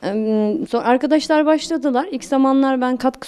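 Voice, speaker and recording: Noticeable background noise surrounds a woman with a high pitch and lively intonation, speaking at a moderate pace. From Turkey, Dersim (Tunceli). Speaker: sociologist, women's choir member. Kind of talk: interview. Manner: halting, many fillers.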